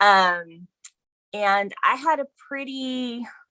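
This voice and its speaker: A woman with an American accent projects a raised voice at high pitch in a bright, sharp tone. Her pitch swings very widely, and the sound is dry and close with no echo. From Texas, Houston suburb. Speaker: podcast guest sharing life story. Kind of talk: interview testimony. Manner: halting, many fillers.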